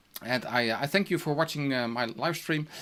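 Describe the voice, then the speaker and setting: A man talks at a very fast pace with a non-native accent and a fairly high pitch. His tone is bright and sharp, and the recording is very clean with a silent background. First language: Dutch. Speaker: teacher. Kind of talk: tutorial. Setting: live stream with screen sharing. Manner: hesitant, many fillers.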